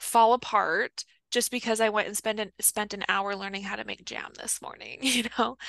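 A woman with a fairly high, bright and sharp tone at a moderate pace with fairly even intonation, in a dry, close recording with no echo and a quiet background. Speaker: fitness coach. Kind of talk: casual interview chat.

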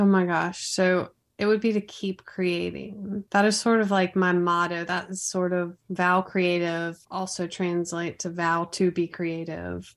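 A woman with an American accent speaks at a fairly slow pace with hardly any pauses. Her fairly low voice stays monotone and flat. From US South, Raleigh, North Carolina. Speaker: video producer and business owner. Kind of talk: interview.

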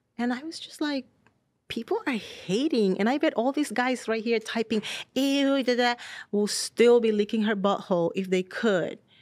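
A woman's fairly high pitch with ordinary pitch variation, at a moderate pace. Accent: Spanish. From Dominican Republic. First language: Spanish. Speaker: model. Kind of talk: casual chat. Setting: studio.

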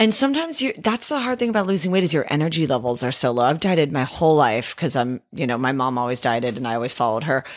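A woman with an American accent talks very fast with hardly any pauses, her very deep, low voice swinging very widely in pitch. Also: very clean recording, silent background. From Northern California, East Bay. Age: 30s. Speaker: podcast guest, gym acquaintance. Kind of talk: casual chat.

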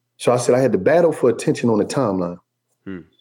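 Lively intonation marks a man's dark, mellow, medium-pitched voice as he talks at a fairly quick pace. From Philadelphia. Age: 40s. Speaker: author and podcaster. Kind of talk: casual interview conversation. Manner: animated.

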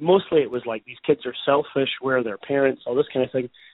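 A man with a fairly high pitch and a Scottish accent. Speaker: news reporter. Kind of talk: interview.

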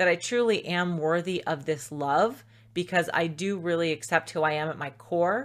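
Animated in tone, a woman speaks at a fairly slow pace with a fairly low pitch. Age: 40s. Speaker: self-love coach. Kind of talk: interview. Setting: remote call.

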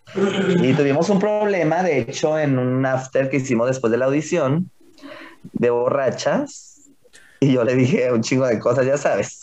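With a normal speaking voice, a man uses lively intonation at a moderate pace and a fairly high pitch. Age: 20s. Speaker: drag performer. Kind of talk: casual interview chat.

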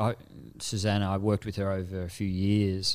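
A man with an Australian accent, fairly low in pitch with a dark, mellow tone, in a very clean recording with a silent background. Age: 30s. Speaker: executive coach. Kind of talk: casual chat.

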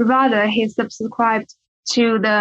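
A woman's fairly high voice with a Chinese accent, monotone and flat in intonation, in a dry, close sound with no echo. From China. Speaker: law student. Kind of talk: academic discussion.

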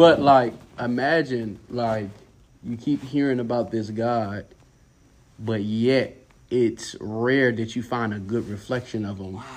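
A man with an American accent talks in a normal speaking voice at a medium pitch and fairly slow pace. His pitch variation is ordinary, and his loudness swings widely. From Durham, North Carolina. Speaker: pastor's kid and psychology student. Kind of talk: casual chat.

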